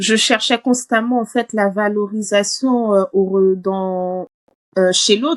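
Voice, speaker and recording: The woman's voice sits at a medium pitch with fairly even intonation and very even loudness, spoken very slowly in a dry, close sound with no echo. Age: 30s. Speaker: coaching client. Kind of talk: testimony interview. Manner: hesitant, many fillers.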